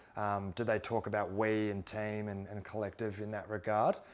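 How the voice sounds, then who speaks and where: A man with an Australian accent speaks in a fairly low pitch with monotone, flat intonation. The recording is very clean, with a silent background. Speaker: former pro footballer turned investor. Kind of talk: interview conversation. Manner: fast.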